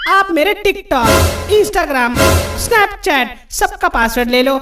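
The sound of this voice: A man uses a cartoonish character voice at an extremely high pitch, bright and sharp in tone with lively intonation. He goes at a slow pace while faint music plays in the background.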